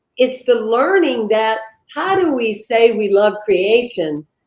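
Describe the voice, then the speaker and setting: At a very slow pace, a woman speaks with a fairly high pitch and lively intonation. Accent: American. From US South. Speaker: minister. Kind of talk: interview conversation. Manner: animated.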